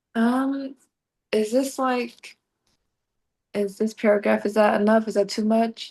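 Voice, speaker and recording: Monotone and flat, a woman speaks at a fairly high pitch and a fairly slow pace. She pauses long and often. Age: young. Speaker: host's sister.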